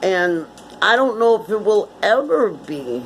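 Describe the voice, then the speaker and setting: A woman with an American accent, very slow pace and very wide pitch swings, over noticeable background noise. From Connecticut, US. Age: 60s. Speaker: vlogger. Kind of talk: casual monologue.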